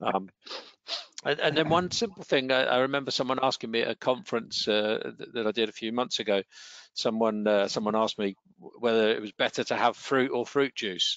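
The speech moves at a moderate pace with ordinary pitch variation. The sound is dry with no echo, over a quiet background. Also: man. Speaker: wellbeing trainer. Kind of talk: online training webinar. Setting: online webinar. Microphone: headset.

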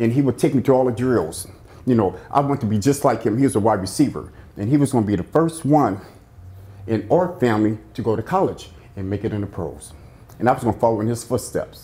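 This man talks at a very fast pace with lively intonation and a dark, mellow tone that is somewhat breathy. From South Central Los Angeles; California. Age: 50s. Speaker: former prisoner; interviewee. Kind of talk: life story interview. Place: studio.

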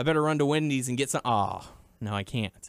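Delivered at a fairly quick pace, it is a plain, everyday voice with ordinary pitch variation. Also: man. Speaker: wrestling podcast host. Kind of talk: casual chat.

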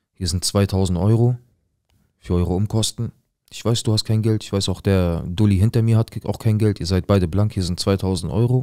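A man speaks with a dark, mellow tone at a moderate pace. His intonation is fairly even. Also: fairly low pitch for a man, quiet background. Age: 20s. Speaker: viewer telling his life story; storyteller. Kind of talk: personal testimony. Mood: serious, tense, emotional. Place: studio. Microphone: studio mic.

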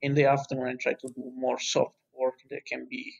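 A man speaks at a moderate pace with an Italian accent. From Italy. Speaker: university lecturer and fire researcher. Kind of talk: interview.

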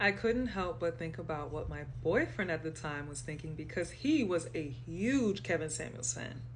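A woman speaks at a moderate pace with hardly any pauses. Light background noise can be heard. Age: 30s. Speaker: content creator. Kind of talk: angry rant. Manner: fiery, defiant. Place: home room. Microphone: phone near.

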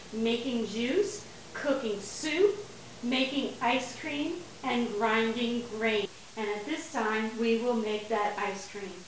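A woman talks at a very slow pace amid audible room echo and light background noise. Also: ordinary pitch variation. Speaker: home cook demonstrating a blender. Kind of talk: tutorial. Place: kitchen. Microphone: camera far.

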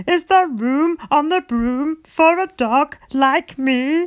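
The speaker uses a put-on character voice pitched high. The pace is very slow. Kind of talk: read story. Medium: read story.

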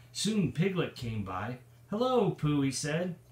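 A somewhat breathy man speaking at a very slow pace, with audible room echo. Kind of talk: storytime reading aloud. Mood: warm, playful. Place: home room. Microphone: phone near.

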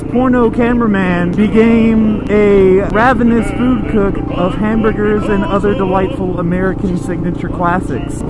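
Over clear background music, a man talks at a moderate pace with ordinary pitch variation, in a dry sound with no echo. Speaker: moto vlogger. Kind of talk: casual vlog chat. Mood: joking, crude banter. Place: motorbike. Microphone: helmet.

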